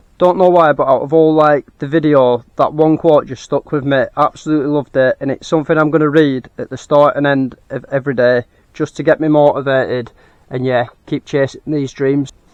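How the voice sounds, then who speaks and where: Here a man talks in a northern English accent at a fairly high pitch. His delivery is fairly quick and monotone, flat. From northern England. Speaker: collectibles reseller. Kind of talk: casual vlog narration. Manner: casual, some repetitions.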